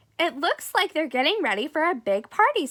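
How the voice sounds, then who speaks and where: Using a put-on character voice, the speaker moves at a fairly quick pace with very wide pitch swings. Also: woman, extremely high pitch for a woman. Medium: read story. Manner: eager.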